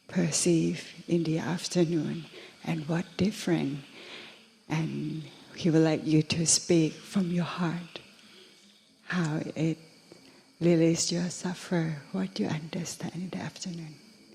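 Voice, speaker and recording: A woman speaks in a Thai accent at a fairly low pitch, with flat, monotone intonation. Her pace is fairly slow, broken by long, frequent pauses. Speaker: interpreter. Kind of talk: interpreting.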